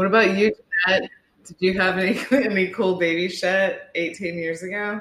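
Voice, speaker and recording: Her intonation monotone and flat, a woman speaks at a medium pitch and a moderate speed. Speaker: mother, podcast guest. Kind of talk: casual chat. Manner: giggly.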